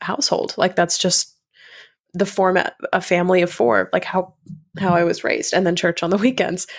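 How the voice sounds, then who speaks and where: Woman with an American accent, fairly low pitch and fairly even intonation. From North Carolina. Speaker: grief guide and podcast host. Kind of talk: interview conversation. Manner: casual, many fillers.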